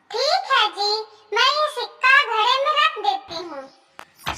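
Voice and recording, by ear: A woman puts on a squeaky, cartoonish character voice with an extremely high pitch. She speaks at a fairly slow pace.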